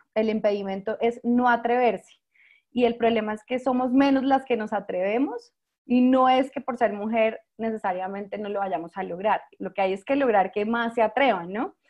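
This woman talks at a moderate pace with fairly high pitch. Her pitch varies in an ordinary way. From Colombia, San Andrés island (Caribbean). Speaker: startup founder and CEO. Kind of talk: interview.

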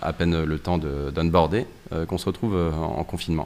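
Moderate pace from a man with a very deep, low voice, under noticeable background noise. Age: 30s. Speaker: tech company CTO. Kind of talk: interview.

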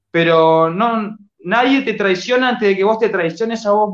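High-pitched male voice at a fairly slow pace with ordinary pitch variation. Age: 30s. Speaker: artist and social media motivator. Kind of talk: casual interview chat.

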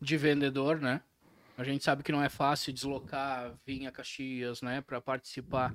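A man speaks in a monotone, flat way at a fairly high pitch. The recording is very clean, with a silent background. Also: moderate pace. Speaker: podcast host. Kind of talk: casual chat.

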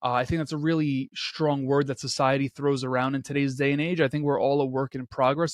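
Hardly pausing, a man talks at a fairly quick pace and fairly high pitch with fairly even intonation, the sound dry and close with no echo. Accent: New York. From Queens, New York City. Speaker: entrepreneur and podcast host. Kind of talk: interview.

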